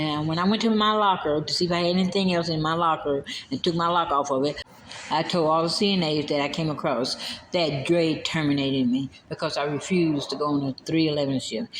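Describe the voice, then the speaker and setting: Over noticeable background noise, a woman talks at a fairly quick pace with a very deep, low pitch. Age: 60s. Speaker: nursing home worker telling of her firing. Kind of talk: personal vlog testimony.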